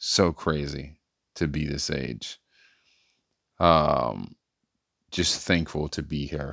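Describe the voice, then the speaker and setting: A man speaks at a very slow pace with vocal fry, very deep, low pitch and fairly even intonation, leaving long, frequent pauses. The recording is very clean with a silent background. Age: 30s. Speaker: podcaster. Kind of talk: casual monologue.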